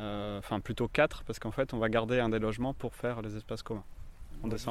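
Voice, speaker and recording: His pitch medium and his intonation fairly even, a man rattles along at a very fast pace. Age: 30s. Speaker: shared-housing resident, insurance employee. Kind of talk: casual interview. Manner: hesitant, many fillers.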